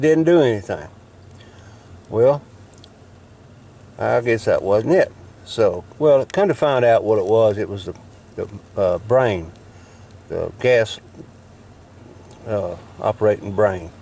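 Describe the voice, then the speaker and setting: A man's medium-pitched voice with a dark, mellow tone, a Southern US accent, lively intonation, a fairly slow pace and long, frequent pauses. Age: 60s. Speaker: YouTuber showing truck repairs. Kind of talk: casual how-to demonstration. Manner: halting, with fillers.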